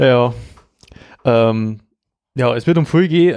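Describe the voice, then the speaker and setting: Speaking with a Bavarian accent, a man uses a medium pitch with ordinary pitch variation. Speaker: podcast host. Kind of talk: casual chat.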